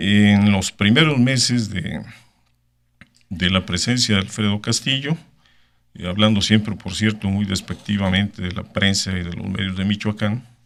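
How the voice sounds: A man's fairly low voice with vocal fry, ordinary pitch variation and a fairly slow pace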